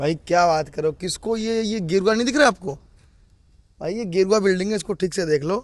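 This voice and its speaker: Animated in tone, a man talks at a moderate pace with a high pitch and ordinary pitch variation. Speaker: political commentator. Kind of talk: casual chat.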